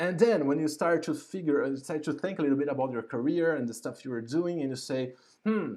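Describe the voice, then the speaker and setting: Dark and mellow in tone, a man's voice carries a non-native accent. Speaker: YouTube host, UX professional. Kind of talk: live stream interview introduction. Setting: home, live stream. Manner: halting, many fillers and repetitions.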